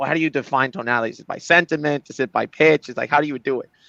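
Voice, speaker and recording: Very rapid delivery from a male speaker, his pitch fairly high. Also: dry, close sound with no echo, quiet background. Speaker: AI voice-analytics company leader. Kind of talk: live show interview. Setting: livestream. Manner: fast.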